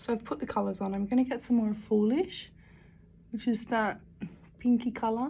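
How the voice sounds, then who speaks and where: Mumbling at a fairly quick pace, a woman speaks with a fairly high pitch and a dark, mellow tone. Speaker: makeup YouTuber. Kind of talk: makeup tutorial. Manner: casual, mumbling to herself.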